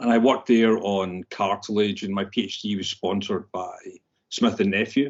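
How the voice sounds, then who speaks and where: The speaker has a strong Scottish accent and talks at a moderate pace. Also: man, fairly low pitch for a man, fairly even intonation. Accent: Scottish, thick. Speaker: scientist. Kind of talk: interview.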